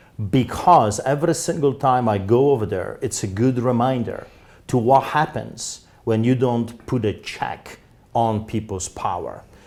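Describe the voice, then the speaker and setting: Speaking in a Polish accent, a man of medium pitch talks at a fairly slow pace with ordinary pitch variation. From Poland. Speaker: pastor. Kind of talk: interview. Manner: animated.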